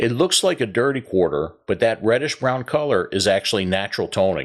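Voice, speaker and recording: A man with a Baltimore accent talks at a medium pitch and a moderate pace, with lively intonation. The recording is very clean, with a silent background. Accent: Baltimore-area Maryland. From Maryland, Pasadena (Baltimore area). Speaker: coin collecting YouTuber. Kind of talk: scripted narration.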